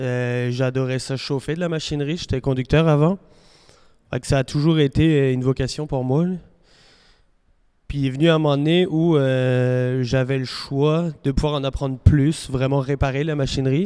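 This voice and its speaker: Fairly high male voice with a dark, mellow tone, fairly even intonation and a moderate pace. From France. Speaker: farm machinery mechanic. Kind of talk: interview.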